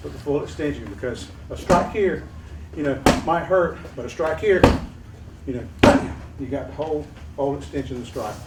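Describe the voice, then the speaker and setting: This man has a Southern US accent and a fairly high pitch, with lively intonation at a moderate pace. Room echo is audible, and there is noticeable background noise. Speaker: martial arts instructor. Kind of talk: hands-on class instruction.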